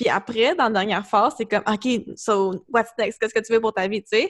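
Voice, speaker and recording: A plain, everyday voice with ordinary pitch variation, in a dry, close sound with no echo. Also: woman. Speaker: podcast host and wellness coach. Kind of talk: casual interview chat.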